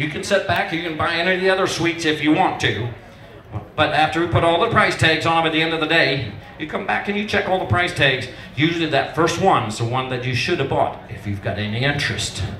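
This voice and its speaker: Over light background noise and audible room echo, a fairly high-pitched man talks at a very fast pace with lively intonation. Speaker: auctioneer. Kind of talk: casual talk to the crowd between bids. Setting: benefit auction, live crowd. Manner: conversational, humorous. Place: tent.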